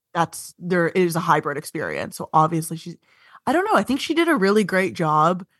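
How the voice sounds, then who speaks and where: With an Ontario accent, the speaker talks at a fairly quick pace with ordinary pitch variation over a quiet background. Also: woman, fairly low pitch for a woman. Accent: Canadian (Ontario). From Ontario, Canada (Vaughan, north of Toronto). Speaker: stand-up comedian and TV writer. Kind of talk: casual interview chat.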